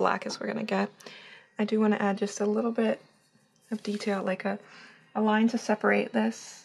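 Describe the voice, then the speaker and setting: A woman mumbling at a moderate pace. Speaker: painter. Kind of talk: casual talk while painting. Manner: hesitant, many fillers.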